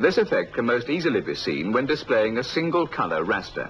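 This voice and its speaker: Talking at a fairly quick pace, a man shows very wide pitch swings and vocal fry. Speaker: narrator. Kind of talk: technical training film narration.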